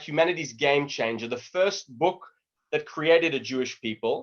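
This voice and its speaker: With an Australian accent, a man talks at a moderate pace with lively intonation. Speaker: lecturer on Judaism. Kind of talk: online lecture. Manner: casual, conversational.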